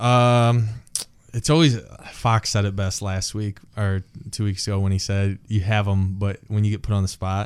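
In a very clean recording with a silent background, a man with an American accent and a plain, everyday voice talks at a moderate pace, his fairly low pitch carrying fairly even intonation. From Big Rapids, Michigan, US. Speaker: former college football player. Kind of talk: casual interview chat.

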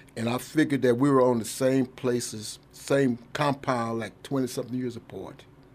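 Speaking with an Oklahoma accent, a man talks at a moderate pace and medium pitch, with ordinary pitch variation. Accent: Oklahoma Southern American. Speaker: army veteran. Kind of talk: radio interview. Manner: halting.

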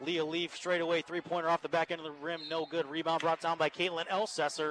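Over noticeable background noise, a man with an American accent talks at a very fast pace in a fairly high pitch. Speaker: play-by-play sports announcer. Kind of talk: live commentary. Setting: courtside at a high school gym. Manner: animated.

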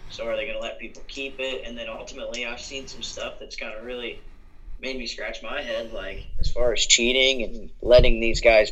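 A man with an American accent at a moderate pace. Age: 20s. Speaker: sports podcast co-host. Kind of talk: casual sports talk. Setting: remote call over Skype.

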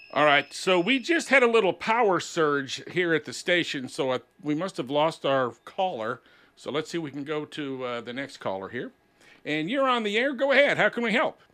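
Against a quiet background, a man with an American accent speaks at a moderate pace, fairly high in pitch, with a bright, sharp tone and very wide pitch swings. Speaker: radio host. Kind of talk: casual radio call-in chat.

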